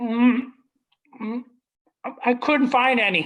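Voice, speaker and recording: A man does a put-on character voice, pitched extremely high and delivered fairly slowly. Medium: stage play.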